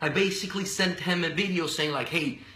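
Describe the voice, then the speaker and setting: Over noticeable background noise, a man with a Spanish accent talks at a moderate pace. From Venezuela. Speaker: radio and TV personality. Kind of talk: casual interview. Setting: live video stream. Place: office. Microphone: webcam.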